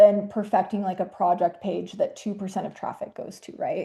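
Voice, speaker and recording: Somewhat breathy and dark, mellow in tone, a woman speaks at medium pitch against a quiet background. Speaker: webinar presenter, marketing specialist. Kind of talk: webinar presentation. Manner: fast; casual, filler-heavy.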